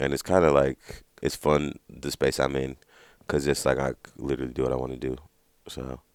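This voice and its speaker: At a moderate pace, a man speaks in a very deep, low voice with vocal fry and monotone, flat intonation. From Los Angeles area, California (Watts, Compton). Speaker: musician. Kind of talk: interview. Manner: casual, halting with many fillers.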